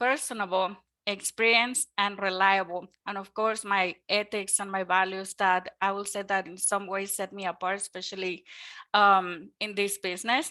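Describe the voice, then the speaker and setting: A woman with a Mexican accent speaks at medium pitch and a moderate pace, her tone bright and sharp. Her intonation is monotone and flat. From Mexico. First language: Spanish. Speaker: mortgage lender. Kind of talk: webinar presentation. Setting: online webinar. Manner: hesitant with many fillers.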